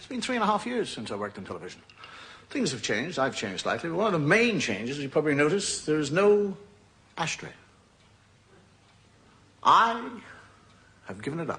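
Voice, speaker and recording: A man in an Irish accent talks fairly quickly at a high pitch, with very wide pitch swings, big swings in loudness, and long, frequent pauses. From Ireland. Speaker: comedian. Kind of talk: stand-up comedy monologue. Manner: conversational, hesitant.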